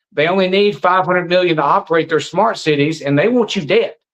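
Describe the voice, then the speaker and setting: Speaking with a Southern US accent, a man talks at a high pitch with ordinary pitch variation. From US South, Alabama. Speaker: anti-vaccine activist. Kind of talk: interview. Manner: animated.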